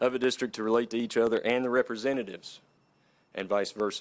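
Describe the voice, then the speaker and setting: A man talks in an Appalachian accent at a fairly quick pace. His pitch sits in the medium range. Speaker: redistricting committee member. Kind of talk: public meeting presentation. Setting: city council meeting.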